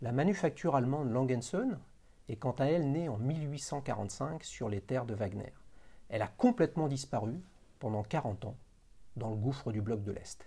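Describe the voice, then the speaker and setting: Fairly slow and marked by long, frequent pauses, a man's somewhat breathy, dark, mellow voice carries lively intonation. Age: 50s. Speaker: watch channel host; show host. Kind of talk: casual interview; scripted narration. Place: home room. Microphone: lapel.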